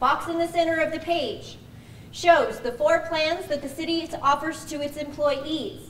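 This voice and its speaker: Audible room echo is heard in this recording. A woman talks with a high pitch. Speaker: pension plan representative. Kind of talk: orientation presentation. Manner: fast.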